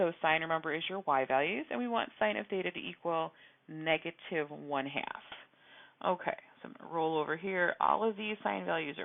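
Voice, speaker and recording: A woman's fairly low voice with very wide pitch swings. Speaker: math teacher. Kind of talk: tutorial.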